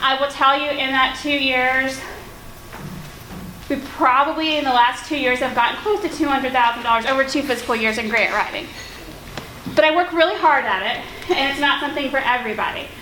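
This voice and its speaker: A woman's raised, projected voice, high in pitch with ordinary pitch variation, at a fairly quick pace broken by long, frequent pauses, with audible room echo and noticeable background noise. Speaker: nonprofit founder and grant writer. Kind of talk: conference workshop presentation. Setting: conference room with audience and projector. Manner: loud; informal.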